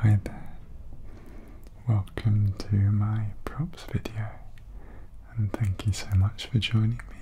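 Soft-spoken and somewhat breathy, a man talks at a very slow pace with a fairly low pitch and fairly even intonation over noticeable background noise. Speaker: ASMR creator. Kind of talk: ASMR soft-spoken tapping video. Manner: calm, slow. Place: home room. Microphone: studio mic.

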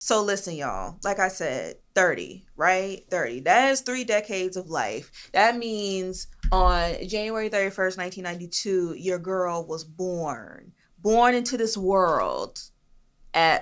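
Against a quiet background, a woman of medium pitch sounds animated, speaking at a fairly slow pace with ordinary pitch variation. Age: 30s. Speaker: podcast host. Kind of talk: casual chat. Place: studio. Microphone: studio mic.

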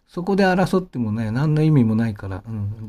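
A man's dark, mellow, somewhat breathy voice with lively intonation at a moderate pace, on a very clean recording with a silent background. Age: 50s. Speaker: pianist and channel host. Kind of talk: casual monologue. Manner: rambling, many fillers.

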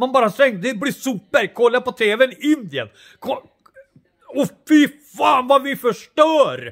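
Against a quiet background, a man talks at a fairly slow pace in an extremely high pitch. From Sweden. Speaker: vlogger. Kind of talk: casual monologue. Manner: animated; halting. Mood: agitated, opinionated. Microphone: phone near.

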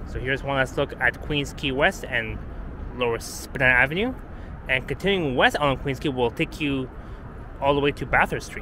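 Here a man speaks with fairly even intonation. The sound is dry with no echo, though background noise is noticeable. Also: moderate pace. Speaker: walking tour vlogger. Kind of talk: casual walking commentary. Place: street. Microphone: phone near.

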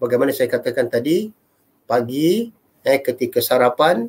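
Ordinary pitch variation from a man talking at a moderate pace. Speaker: religious teacher. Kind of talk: lecture. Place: home room. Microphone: webcam.

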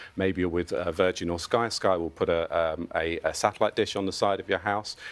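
A man speaks with a British accent in a very deep, low voice. His pitch varies in an ordinary way, and his pace is fairly quick. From UK. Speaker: consumer telecoms analyst. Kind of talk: TV news interview. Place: studio. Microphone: lapel.

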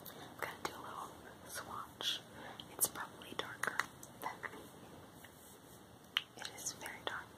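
The voice is whispering. Long pauses come often. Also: moderate pace. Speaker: haul unboxer. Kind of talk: ASMR unboxing. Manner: whispered. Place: home room. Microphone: phone near.

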